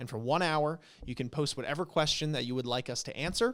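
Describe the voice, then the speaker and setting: A man speaks at a fairly quick pace, his pitch fairly high with ordinary variation. The recording is very clean against a silent background. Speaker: podcast co-host. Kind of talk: casual chat. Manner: stumbles over words.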